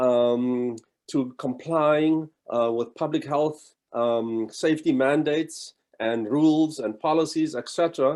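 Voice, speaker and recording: Speaking at a fairly slow pace with a South African accent, a man uses a fairly high pitch with ordinary pitch variation. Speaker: college provost. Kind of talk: welcome address. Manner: halting, many fillers.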